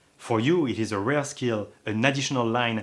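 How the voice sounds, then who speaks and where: A man with a slight French accent speaks at a fairly quick pace, at a medium pitch. His pitch varies in an ordinary way, and the recording is very clean with a silent background. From France. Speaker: online course instructor. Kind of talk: lecture.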